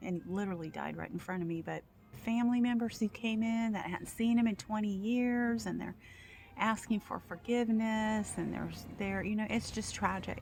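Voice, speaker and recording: The voice sounds somewhat breathy. Its pitch varies in an ordinary way. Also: woman. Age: 60s. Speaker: video blogger, former home care worker. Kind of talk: casual monologue.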